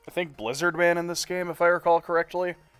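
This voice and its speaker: Music plays in the background. Over it, a man with a high pitch talks at a fairly quick pace. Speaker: video game streamer. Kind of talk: live game stream commentary. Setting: live stream. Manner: casual, chatty.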